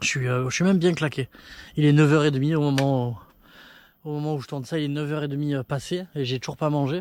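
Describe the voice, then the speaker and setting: Very fast but with long, frequent pauses, a man speaks in a fairly high voice with fairly even intonation. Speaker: travel vlogger on a bike trip. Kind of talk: casual vlog to camera. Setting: outdoors at night. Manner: soft-spoken; halting.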